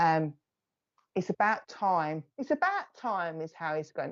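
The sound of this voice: A woman with an Essex accent speaks at a fairly slow pace. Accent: Essex, south-east English.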